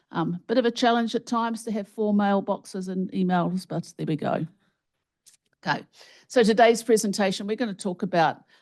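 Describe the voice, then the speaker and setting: A woman's medium-pitched voice, fairly quick, with ordinary pitch variation and a quiet background. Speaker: health researcher and professor. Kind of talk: keynote lecture. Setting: conference stage with audience and microphone.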